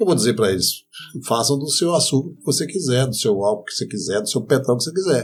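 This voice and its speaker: A man with a medium pitch talks at a very fast pace, his intonation lively and his loudness swinging widely. Music plays in the background. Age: 60s. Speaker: renewable energy entrepreneur. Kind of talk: podcast interview. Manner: animated.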